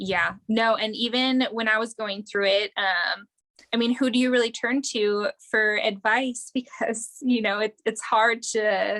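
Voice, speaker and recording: Speaking in a slight Wisconsin accent, a woman has a fairly high pitch, a bright, sharp tone and a monotone, flat intonation, recorded with a dry, close sound and no echo. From Wisconsin, near Green Bay. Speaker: air force veteran, combat medic. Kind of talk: casual interview.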